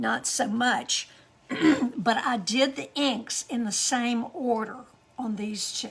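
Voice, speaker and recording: High-pitched woman at a very slow pace, ordinary pitch variation, noticeable background noise. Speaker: card-making demonstrator. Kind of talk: crafting tutorial. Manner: casual, halting.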